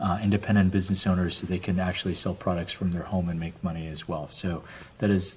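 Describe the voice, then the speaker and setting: A man's very deep, low, somewhat breathy voice, fairly quick in pace, with monotone, flat intonation. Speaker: family company executive. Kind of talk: casual podcast chat.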